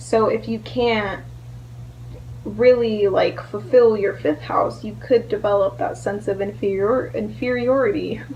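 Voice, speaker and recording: Noticeable background noise fills the clip. Over it, a woman speaks fairly slowly. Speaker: astrology vlogger. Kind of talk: educational vlog talk. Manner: casual, filler-heavy.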